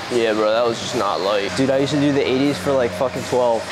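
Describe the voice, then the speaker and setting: A man talks at a fairly quick pace with ordinary pitch variation, music playing in the background. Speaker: fitness vlogger. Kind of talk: casual vlog chat. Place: gym. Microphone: lapel.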